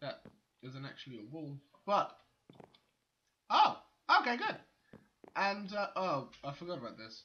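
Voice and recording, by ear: With audible room echo, a man speaks fairly slowly and fairly high for a man, his pitch swinging widely between long, frequent pauses.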